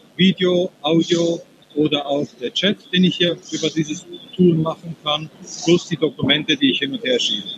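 Recorded with a dry, close sound and no echo, a man speaks at a high pitch and a moderate pace with ordinary pitch variation. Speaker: software demonstrator. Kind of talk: product demo. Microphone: poor connection, not fully intelligible.

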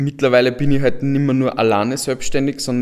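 A man's medium-pitched voice comes out monotone and flat. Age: 20s. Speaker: software entrepreneur. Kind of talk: panel discussion.

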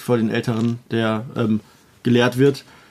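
The man's tone is dark and mellow. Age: 20s. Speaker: podcast co-host. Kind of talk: casual chat. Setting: sister's childhood bedroom at home.

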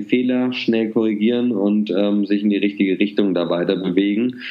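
A man's unremarkable speaking voice, fairly low in pitch, with fairly even intonation at a moderate pace. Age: 30s. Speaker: social entrepreneur. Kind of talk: interview.

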